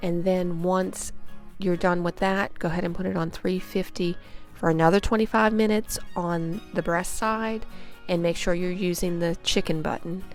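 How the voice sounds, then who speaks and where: Music plays behind a woman with a fairly low pitch. She talks at a moderate pace with fairly even intonation. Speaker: home cook. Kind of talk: cooking tutorial talk to camera. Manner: casual, friendly.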